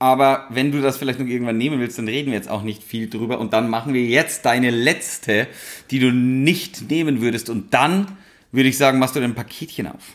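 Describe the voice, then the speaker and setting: This man talks at a fairly quick pace in an unremarkable speaking voice. His pitch is medium, with ordinary pitch variation. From rural Upper Bavaria. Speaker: podcast co-host. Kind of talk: casual chat.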